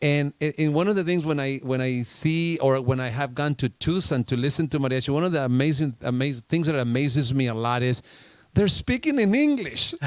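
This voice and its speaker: Recorded very cleanly against a silent background, a man with a Spanish accent talks at a fairly quick pace, fairly high in pitch, with ordinary pitch variation. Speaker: radio show host. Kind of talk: casual interview chat. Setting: studio.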